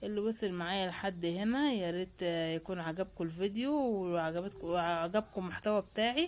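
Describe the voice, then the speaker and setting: Hardly pausing, a woman talks at a moderate pace, medium in pitch with ordinary pitch variation, on a very clean recording with a silent background. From Egypt, Cairo. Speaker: lifestyle vlogger. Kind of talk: casual vlog narration. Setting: outdoors in the street by a bread oven. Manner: chatty, with many fillers.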